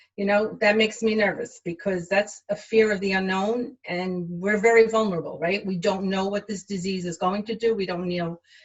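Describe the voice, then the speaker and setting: A woman talks with hardly any pauses in a somewhat breathy voice. Her intonation stays fairly even. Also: medium pitch for a woman, moderate pace. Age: 60s. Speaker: healthcare worker. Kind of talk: interview. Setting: livestream.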